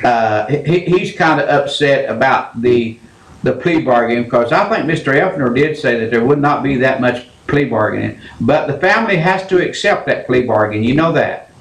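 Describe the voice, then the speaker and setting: A man with an American accent talks at a moderate pace with lively intonation and very even loudness. Noticeable background noise and audible room echo are present. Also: fairly high pitch for a man. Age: 70s. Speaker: radio call-in show host. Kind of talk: call-in radio talk.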